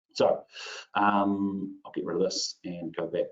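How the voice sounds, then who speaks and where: This man speaks with a New Zealand accent. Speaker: IT consultant presenter. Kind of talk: webinar tutorial. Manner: casual, filler-heavy.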